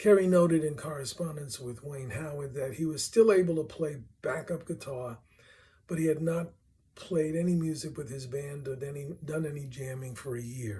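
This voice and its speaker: A man's fairly high-pitched voice with a Brooklyn accent, somewhat breathy and dark and mellow in tone, at a moderate pace with ordinary pitch variation and big swings in loudness. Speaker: music researcher presenting a paper. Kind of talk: reading a prepared paper aloud.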